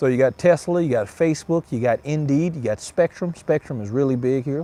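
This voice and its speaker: Someone speaks with a Mississippi accent in a dark, mellow tone at a fairly quick pace. The sound is dry and close, with no echo. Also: man, fairly high pitch for a man, ordinary pitch variation. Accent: US Southern (Mississippi). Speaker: cigar reviewer, livestream host. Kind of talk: casual livestream chat. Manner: relaxed, chatty.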